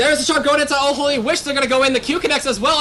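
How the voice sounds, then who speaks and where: Very fast speech over noticeable background noise. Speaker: esports caster. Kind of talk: live commentary.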